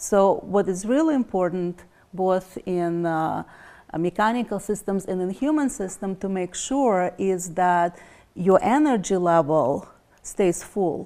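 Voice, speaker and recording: A woman with a Russian accent speaks at a fairly slow pace and medium pitch, her dark, mellow tone carrying lively intonation in a very clean recording with a silent background. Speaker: energy healer. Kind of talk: interview.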